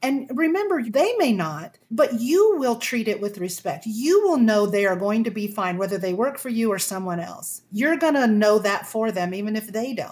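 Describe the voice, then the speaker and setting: Somewhat breathy, lively intonation at a moderate pace, with hardly any pauses. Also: woman, fairly high pitch for a woman. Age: 60s. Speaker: communication coach. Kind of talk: interview.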